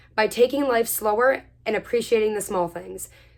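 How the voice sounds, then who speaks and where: In an animated tone, a woman is heard on a very clean recording against a silent background. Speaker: vlogger. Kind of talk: casual chat. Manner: fast.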